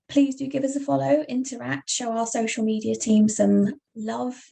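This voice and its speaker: The speaker is a woman. She has a British accent. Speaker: webinar host for patient nonprofit. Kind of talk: online presentation. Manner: casual, filler-heavy.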